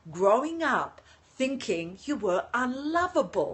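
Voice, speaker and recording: Speaking very slowly with an Australian accent, a woman's high-pitched voice swings very widely in pitch. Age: 60s. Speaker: leadership coach, livestreamer. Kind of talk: live-stream talk to viewers. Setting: live stream from home balcony.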